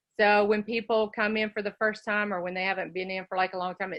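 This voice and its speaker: Here a woman speaks in a West Virginia accent. Her medium-pitched voice moves at a fairly quick pace. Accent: West Virginia twang. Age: 60s. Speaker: educational consultant, business owner. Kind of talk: casual business talk on a live forum. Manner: animated, chatty.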